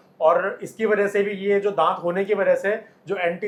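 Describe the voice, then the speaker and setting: A man's monotone, flat delivery unfolds at a moderate pace amid noticeable background noise. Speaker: dentist. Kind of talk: explanation to camera.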